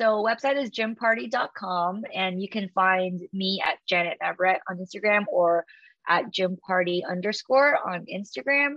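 Here a woman speaks at a moderate pace and a medium pitch. Her pitch varies in an ordinary way. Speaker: fitness business founder. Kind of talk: interview. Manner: loud; animated.

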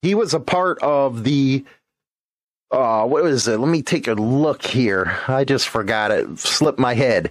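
In an ordinary speaking voice, a man talks at a fairly slow pace with medium pitch and ordinary pitch variation against a quiet background. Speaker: motorcycle channel host. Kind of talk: reading aloud; casual chat.

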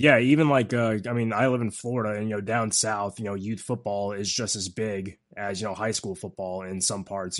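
A normal speaking voice at a moderate pace, with fairly even intonation and a quiet background. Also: man. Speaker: podcast host. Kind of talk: interview questions.

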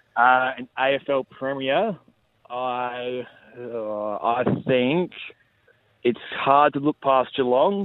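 A man at medium pitch uses a normal speaking voice with fairly even intonation. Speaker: footballer, club captain. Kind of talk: casual radio interview.

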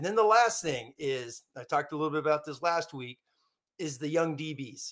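A man talks in an ordinary speaking voice with a fairly high pitch. His pace is moderate, and his loudness swings widely. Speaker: college football podcaster. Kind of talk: casual sports talk. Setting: remote video call.

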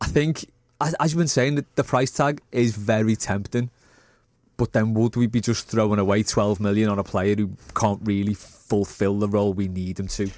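On a very clean recording with a silent background, a man speaks at a moderate pace with a fairly low pitch, ordinary pitch variation and a plain, everyday voice. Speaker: football fan pundit. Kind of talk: casual sports chat.

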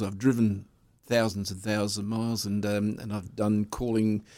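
Speaking at a moderate pace with fairly even intonation, a man with an Australian accent uses a fairly low pitch in a very clean recording with a silent background. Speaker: speedway race commentator. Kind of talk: interview.

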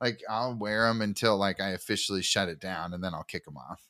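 In a very clean recording with a silent background, a man talks at a fairly quick pace in a bright, sharp tone. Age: 30s. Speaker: podcast co-host. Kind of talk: casual chat.

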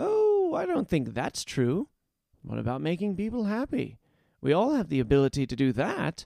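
A man puts on a character voice at a high pitch, keeping a moderate pace. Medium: read story. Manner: chipper, coaxing, warm.

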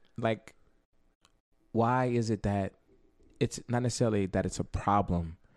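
Speaking at a moderate pace with long, frequent pauses, a man with a fairly low pitch uses ordinary pitch variation and an animated tone on a very clean recording with a silent background. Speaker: photographer and event host. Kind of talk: casual chat.

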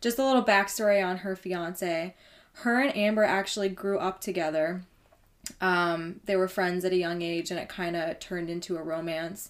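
With a plain, everyday voice, a woman at medium pitch speaks at a moderate pace using fairly even intonation. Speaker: true crime podcast host. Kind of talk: casual chat.

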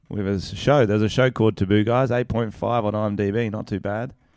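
Delivered at a moderate pace in an Australian accent, the speech has fairly even intonation on a very clean recording with a silent background. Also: man. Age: 20s. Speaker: podcast co-host and comedian. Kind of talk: casual chat.

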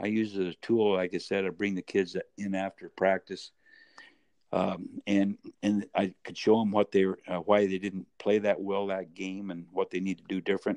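A man speaks in a monotone, flat intonation, with a dry, close sound and no echo. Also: fairly low pitch for a man, moderate pace. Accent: American. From US West Coast, Medford, Oregon. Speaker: retired college basketball coach. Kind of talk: interview. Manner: halting.

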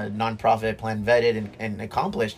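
Noticeable background noise sits behind a man speaking at a fairly quick pace. His pitch is medium and his intonation monotone and flat. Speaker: bar owner and brewery owner. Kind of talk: casual chat. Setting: on location in a dive bar.

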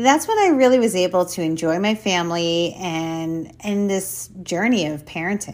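At a moderate pace and with hardly any pauses, a plain, everyday voice moves through ordinary pitch variation. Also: woman, medium pitch for a woman. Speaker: podcast host. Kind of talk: casual conversational interview. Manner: warm, friendly.

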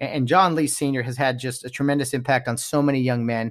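A man with an ordinary speaking voice, medium in pitch, at a fairly quick pace. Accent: American. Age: 30s.

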